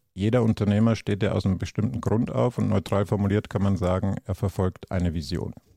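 A man talks at a fairly quick pace with a fairly low pitch and a dark, mellow tone, his pitch varying in an ordinary way. The recording is very clean and dry, close-sounding with no echo and a silent background. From Bavaria. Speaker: entrepreneur and business consultant. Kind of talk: podcast interview.

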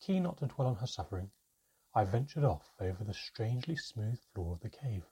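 Against a quiet background, the speaker reads plainly aloud with lively intonation.

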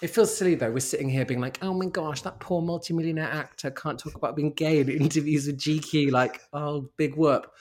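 A London accent at a fairly quick pace. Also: man, fairly high pitch for a man, ordinary pitch variation, hardly any pauses. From South London. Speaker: model and writer. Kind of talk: interview.

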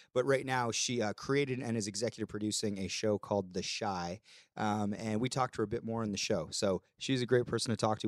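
The recording is very clean with a silent background and a dry, close sound with no echo, as a man with an unremarkable speaking voice and fairly low pitch talks at a fairly quick pace with ordinary pitch variation. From Canada. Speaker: podcast host. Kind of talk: casual chat. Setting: studio.

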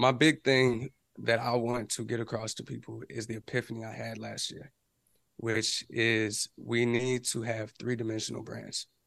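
An ordinary speaking voice from a man, medium in pitch, with fairly even intonation, a moderate pace and big swings in loudness. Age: 20s. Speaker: independent musician and music business YouTuber. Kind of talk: casual interview.

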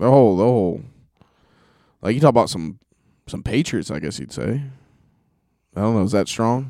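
With an American accent, a man at medium pitch speaks at a fairly quick pace in a dark, mellow tone, using very wide pitch swings and long, frequent pauses. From West Georgia, US (Carrollton). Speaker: podcast co-host, truck driver. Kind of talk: casual chat. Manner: animated.

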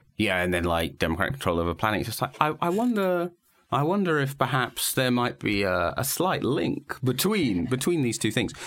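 A man in a British accent talks at a fairly quick pace and medium pitch, with very wide pitch swings. His loudness is very even, on a very clean recording with a silent background. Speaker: political journalist and podcast host. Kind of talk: casual political discussion. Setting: studio.

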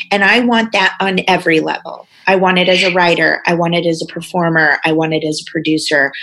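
Speaking at a fairly quick pace, a woman with an American accent uses a fairly low pitch over noticeable background noise. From Missouri, US. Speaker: actress and podcaster. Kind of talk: casual chat over wine. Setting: studio. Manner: animated, excitable.

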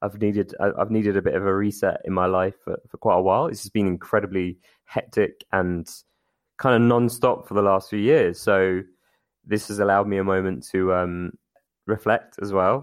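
Over a quiet background, a man speaks with a fairly low pitch. His intonation stays fairly even. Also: moderate pace. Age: 30s. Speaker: podcast guest. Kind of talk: casual chat. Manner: halting, many repetitions and fillers.

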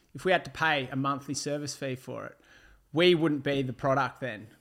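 A man with an Australian accent speaks at a fairly quick pace in a fairly high voice with fairly even intonation. The recording is very clean, with a silent background. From Melbourne outer east, Australia. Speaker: former reality TV contestant. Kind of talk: casual interview.

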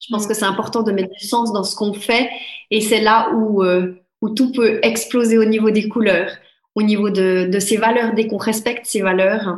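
A woman's fairly high-pitched voice with monotone, flat intonation. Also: moderate pace. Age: 30s. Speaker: life coach. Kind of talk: interview.

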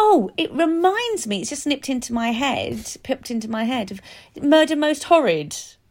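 The pace is moderate. The voice belongs to a woman. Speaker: musical theatre actress and podcast co-host. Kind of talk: casual chat. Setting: video call.

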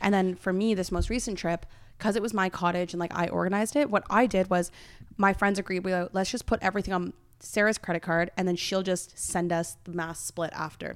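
An ordinary speaking voice from a woman, medium in pitch, fairly even in intonation and fairly quick, on a very clean recording with a silent background. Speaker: podcast host. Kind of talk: casual chat.

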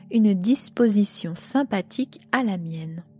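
A solemn tone at a very slow pace, with music in the background. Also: woman. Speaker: podcast host reading aloud. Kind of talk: literary horror audiobook reading, first-person gothic narration. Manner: slow, deliberate, solemn storytelling with a grave, suspenseful tone.

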